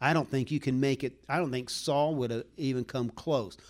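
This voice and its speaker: In a very clean recording with a silent background, a man speaks. His is an ordinary speaking voice, medium in pitch with ordinary pitch variation. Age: 60s. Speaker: preacher. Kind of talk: sermon.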